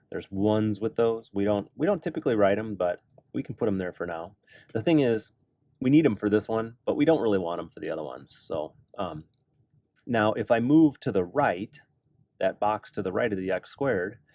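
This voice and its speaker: A man speaks fairly quickly with lively intonation. His voice is fairly low, with a dark, mellow tone. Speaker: math teacher. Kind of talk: tutorial. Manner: casual.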